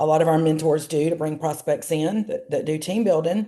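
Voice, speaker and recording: The speaker has a Southern accent and a dark, mellow tone, moving at a moderate pace. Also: woman. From US South, Georgia. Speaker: travel business entrepreneur. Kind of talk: interview. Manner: chatty.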